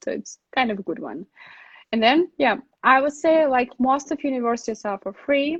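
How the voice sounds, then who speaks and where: The voice belongs to a woman. She speaks with a Russian accent. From Russia, Saint Petersburg. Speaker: relocation consultant. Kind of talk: live stream Q&A. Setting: live online stream. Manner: halting, many fillers.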